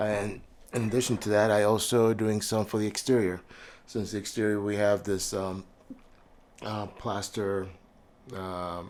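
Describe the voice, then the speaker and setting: A man speaks with monotone, flat intonation and long, frequent pauses. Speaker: scale modeling hobbyist. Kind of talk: tutorial. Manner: casual with many fillers.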